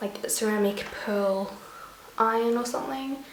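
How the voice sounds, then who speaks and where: Soft-spoken and fairly high-pitched, a woman talks with ordinary pitch variation amid audible room echo and noticeable background noise. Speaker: beauty vlogger. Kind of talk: tutorial.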